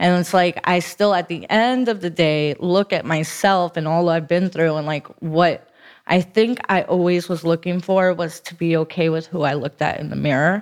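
Over a quiet background, a woman with an American accent and a plain, everyday voice talks at a moderate pace with hardly any pauses, her pitch fairly low with ordinary variation. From South Florida (Broward County). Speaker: recovering addict sharing her story. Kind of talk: testimony.

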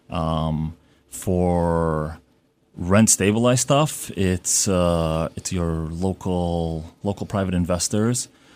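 Speaking very slowly with a New York accent, a man with a very deep, low pitch and ordinary pitch variation comes through on a very clean recording with a silent background. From Brooklyn, New York (emigrated from Uzbekistan at seven). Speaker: real estate broker. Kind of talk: radio interview. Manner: halting, many fillers.

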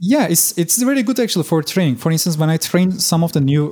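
A man speaks with a Turkish accent at a high pitch. His tone is dark and mellow. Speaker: SEO expert. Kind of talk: casual interview.

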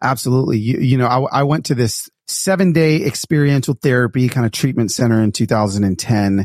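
A man speaks at a medium pitch and a fairly quick pace with ordinary pitch variation and very even loudness, in a dry, close sound with no echo and a very clean recording with a silent background. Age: 40s. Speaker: author and speaker. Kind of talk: casual interview chat. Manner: animated.

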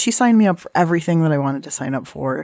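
Speaking with a Californian accent, a woman uses a fairly low pitch with very wide pitch swings. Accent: General American, Californian. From US West Coast, San Diego. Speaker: cook and cookbook author. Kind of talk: casual interview conversation.

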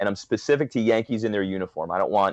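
With an American accent, a man speaks in a fairly low pitch, the sound dry and close with no echo. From Long Island, New York. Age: 30s. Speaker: sports blogger. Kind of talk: casual chat.

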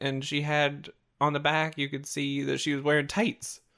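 On a very clean recording with a silent background, a man with an ordinary speaking voice talks at a moderate pace in a fairly high pitch. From Canada. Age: 20s. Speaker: podcast co-host. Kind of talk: casual chat.

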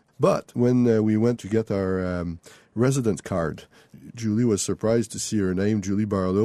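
A man with a Quebec accent speaks at a moderate pace and a fairly low pitch, his tone dark and mellow. His pitch variation is ordinary, and the sound is dry and close with no echo over a quiet background. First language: French. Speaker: author. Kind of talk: interview. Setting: remote studio.

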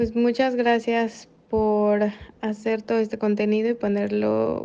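A woman speaks in a Mexican accent at a medium pitch. Her tone is dark and mellow. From Mexico. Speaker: listener sending voice message, medical resident abroad. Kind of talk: recorded voice message.

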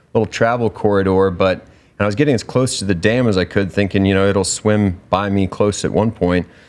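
With an American accent, a man speaks in a plain, everyday voice at a fairly low pitch against a quiet background. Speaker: survival show contestant. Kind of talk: casual interview chat. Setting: studio.

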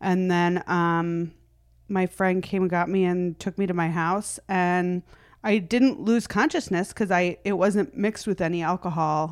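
At a fairly slow pace, a woman with an American accent and an unremarkable speaking voice talks at a medium pitch with ordinary pitch variation, in a very clean recording with a silent background. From US Midwest. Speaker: stand-up comedian. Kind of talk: casual interview chat.

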